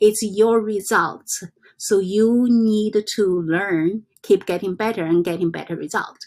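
At a very slow pace, a woman with a non-native accent speaks with fairly even intonation. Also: medium pitch for a woman. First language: not English. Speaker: self-help vlogger. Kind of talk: casual vlog monologue. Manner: halting.

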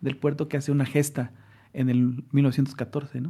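On a very clean recording with a silent background, a man at a medium pitch speaks in a dark, mellow tone, somewhat breathy and with monotone, flat intonation. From Mexico City, Mexico. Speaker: social science researcher. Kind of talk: casual conversation.

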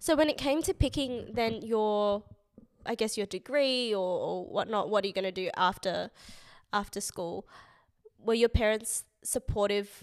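On a very clean recording with a silent background, a woman speaks with an Australian accent at a fairly high pitch. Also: ordinary pitch variation, moderate pace. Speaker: podcast host. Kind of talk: casual chat.

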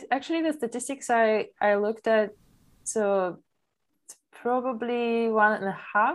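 A woman with a Polish accent speaks at a fairly slow pace and fairly high pitch, with ordinary pitch variation and big swings in loudness. The recording is very clean, with a silent background. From Poland. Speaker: startup founder. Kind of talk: interview. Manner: halting.

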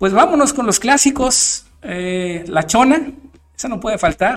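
A man with a Mexican accent, lively intonation and a fairly slow pace. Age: 30s. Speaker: DJ and radio show host. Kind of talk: casual monologue. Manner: halting, many fillers and repetitions.

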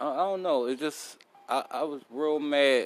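The man speaks in a fairly high pitch with ordinary pitch variation. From South Philadelphia, US. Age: 40s. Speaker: podcast host. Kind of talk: casual monologue. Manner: animated.

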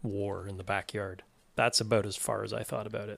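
A man with a Canadian accent talks at a fairly quick clip, his voice showing vocal fry. The recording is very clean, with a silent background. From Canada, Toronto. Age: 40s. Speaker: podcast producer and co-host. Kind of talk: casual chat.

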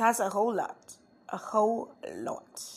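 A woman is speaking. She has a Nigerian accent. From Nigeria, Cross River State. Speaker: blogger on culture and tourism. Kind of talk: casual monologue to listeners. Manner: halting, many fillers and restarts.

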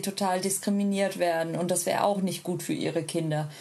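A woman talks with fairly even intonation, and the room echo is audible. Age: 30s. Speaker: polyamorous parent and social media creator. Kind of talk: casual interview.

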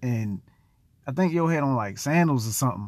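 Against a quiet background, a man with an American accent talks at a fairly quick pace in a normal speaking voice. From US, Baltimore (east side). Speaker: podcast host. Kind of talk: personal storytelling monologue. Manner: casual, many filler words.

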